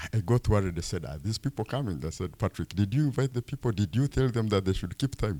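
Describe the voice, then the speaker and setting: A man's very fast, somewhat breathy delivery with hardly any pauses, fairly low in pitch with a dark, mellow tone and lively intonation, in a very clean recording with a silent background. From Uganda, Fort Portal area. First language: Rutoro. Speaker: fund executive. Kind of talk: public presentation. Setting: town hall meeting.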